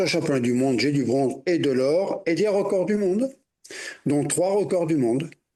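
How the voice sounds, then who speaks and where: Keeping his loudness very even, a man with a dark, mellow tone speaks at a moderate pace and a fairly high pitch with lively intonation. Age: 70s. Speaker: masters freediving champion. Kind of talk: interview. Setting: video call.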